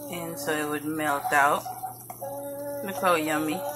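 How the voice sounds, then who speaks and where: A moderate pace over noticeable background noise. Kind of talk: casual cooking tutorial. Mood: relaxed, homely. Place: kitchen. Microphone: phone near.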